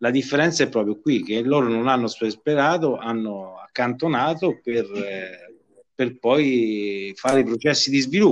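This man has a normal speaking voice at medium pitch with ordinary pitch variation. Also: quiet background. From Villanova, province of Viterbo, Italy. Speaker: trade union official. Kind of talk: interview.

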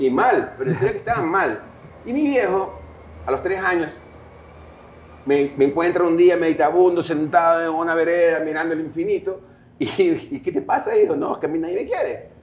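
Long pauses come frequently as a man talks at a moderate speed. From Guayaquil, Ecuador. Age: 40s. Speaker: rock musician. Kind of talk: interview. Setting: coffee shop.

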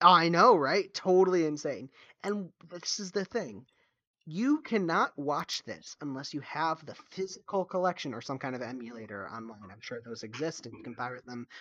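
A man with a fairly high voice speaks at a moderate pace, his pitch swinging very widely. His loudness rises and falls sharply against a quiet background. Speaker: movie podcast host. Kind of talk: casual chat.

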